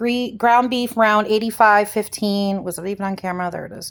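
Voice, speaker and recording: A woman with a Midwestern US accent and fairly even intonation. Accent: US Midwest. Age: 40s. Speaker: lifestyle vlogger. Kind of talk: casual haul vlog. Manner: casual, rambling with fillers.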